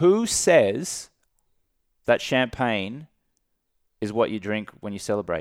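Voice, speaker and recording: Speaking at a very slow pace with long, frequent pauses, a medium-pitched man with an Australian accent uses lively intonation and big swings in loudness on a very clean recording with a silent background. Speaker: entrepreneur and sobriety coach. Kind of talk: casual interview.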